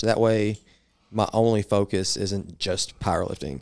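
Fairly even intonation runs through the speech of a man with a Southern US accent. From Arkansas. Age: 20s. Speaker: powerlifter and podcast host. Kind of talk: casual chat.

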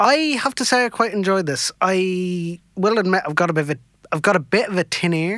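On a very clean recording with a silent background, a man speaks with a Dublin accent in a high pitch and a bright, sharp tone. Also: ordinary pitch variation, fairly quick pace. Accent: Irish (Dublin). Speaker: podcast co-host. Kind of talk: casual banter on radio. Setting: studio.

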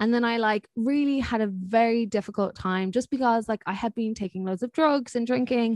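A woman with an Irish accent, fairly high in pitch with ordinary pitch variation, at a fairly quick pace with hardly any pauses, in a dry, close sound with no echo over a quiet background. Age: 20s. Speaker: podcast host. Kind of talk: casual chat.

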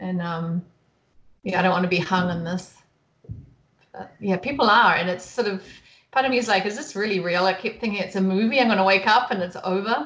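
A fairly quick pace broken by long, frequent pauses, in a New Zealand accent. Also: woman, medium pitch for a woman, ordinary pitch variation. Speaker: photographer. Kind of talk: casual interview chat.

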